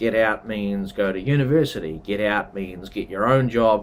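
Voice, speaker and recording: A man with a New Zealand accent, medium in pitch, at a fairly slow pace with ordinary pitch variation. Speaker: travel and culture vlogger. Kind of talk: casual explainer monologue. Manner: conversational, with fillers.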